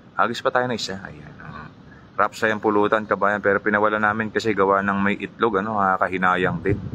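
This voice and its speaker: Quiet and fairly low in pitch, a man talks at a very fast pace. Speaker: fishing vlogger. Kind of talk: live stream chat with viewer shoutouts. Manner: speaking quietly; animated.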